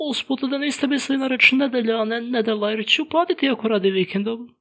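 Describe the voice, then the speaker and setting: The speaker uses a put-on character voice. The pitch sits fairly high. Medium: dub. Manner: innocent, confused.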